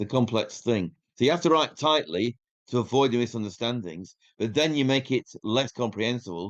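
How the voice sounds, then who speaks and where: A man talks at a moderate pace with a Yorkshire accent. His pitch sits in the medium range. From northern England, Yorkshire. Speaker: independent researcher. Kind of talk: podcast interview.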